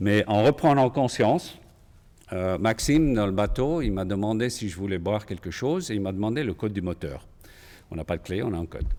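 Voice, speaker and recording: A man's fairly low voice with lively intonation. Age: 60s. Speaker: patient, cardiac arrest survivor. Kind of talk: testimony. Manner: halting, with hesitations.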